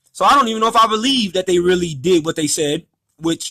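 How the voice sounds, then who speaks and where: A man speaks loudly in a bright, sharp tone. His intonation is lively. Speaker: former restaurant employee telling a grievance story. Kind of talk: casual monologue vlog. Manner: talkative, many fillers.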